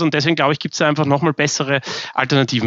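It's a plain, everyday voice from a man, pitched fairly high. His intonation stays fairly even. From Austria, Vienna. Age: 30s. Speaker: bank founder and CEO. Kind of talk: interview.

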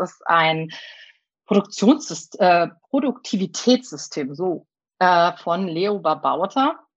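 Over a quiet background, a woman speaks very slowly at medium pitch, with lively intonation and big swings in loudness. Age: 30s. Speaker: primary school teacher and teacher trainer. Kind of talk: interview. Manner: hesitant, many filler sounds.

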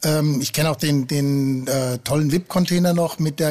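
It is an ordinary speaking voice, a man's, with a fairly high pitch. He goes at a moderate pace with fairly even intonation. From Frankfurt am Main. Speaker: football fan. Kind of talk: casual chat. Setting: at home on a finca.

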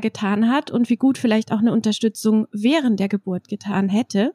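In a very clean recording with a silent background and a dry, close sound with no echo, a woman with a dark, mellow tone talks at a moderate pace with fairly even intonation. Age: 30s. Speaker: trauma counsellor and doula. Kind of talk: interview. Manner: hesitant with frequent fillers.

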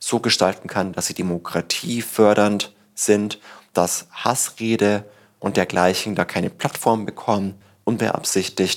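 Fairly low in pitch, a man talks in a normal speaking voice. His intonation is fairly even and his pace moderate. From Bavaria, Upper Palatinate (Tirschenreuth). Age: 30s. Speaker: startup evangelist and author. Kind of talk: interview conversation. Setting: on location at a Berlin office.

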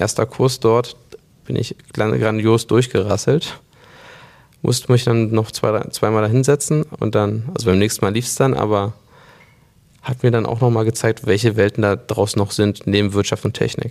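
The pace is moderate, and the intonation is fairly even. It is an unremarkable speaking voice. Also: man, medium pitch for a man. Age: 20s. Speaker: company co-CEO. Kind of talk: interview conversation.

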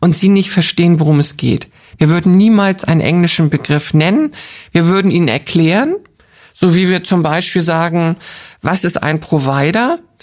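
The pace of this woman's speech is moderate. Ordinary variation marks her pitch. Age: 60s. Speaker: founder of a charity for older people. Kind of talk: interview. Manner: cheerful, laughs often.

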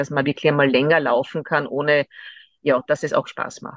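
The sound is close and dry, with no echo at all. A woman talks at a moderate pace. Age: 50s. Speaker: lawyer, amateur runner. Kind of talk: interview. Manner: hesitant, many fillers.

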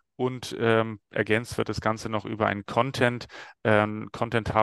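A man's fairly low-pitched voice with monotone, flat intonation and a fairly slow pace, in a dry, close sound with no echo and a very clean recording against a silent background. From Stuttgart, Germany. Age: 40s. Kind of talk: casual interview.

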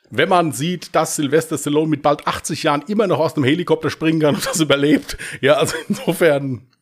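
Here is a man with a plain, everyday voice, pitched fairly high. He talks at a fairly quick pace with ordinary pitch variation. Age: 40s. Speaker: podcast host and crime author. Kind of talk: casual chat.

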